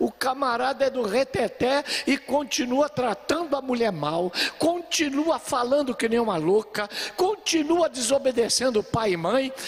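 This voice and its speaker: The delivery is animated, with lively intonation at a fairly slow pace. Noticeable background noise runs underneath. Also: man. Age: 70s. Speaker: pastor. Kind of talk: sermon.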